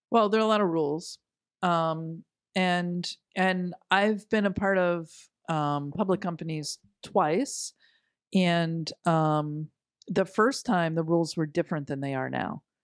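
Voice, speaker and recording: A woman with an unremarkable speaking voice talks at a fairly low pitch and a fairly slow pace. Pitch variation is ordinary, and the sound is dry and close with no echo. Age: 50s. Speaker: business executive. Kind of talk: interview.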